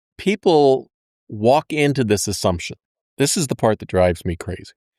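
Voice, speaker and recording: With an American accent and very wide pitch swings, a man talks at a moderate pace on a very clean recording with a silent background, dry and close with no echo. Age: 60s. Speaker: podcast co-host, debt advisor. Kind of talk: casual chat.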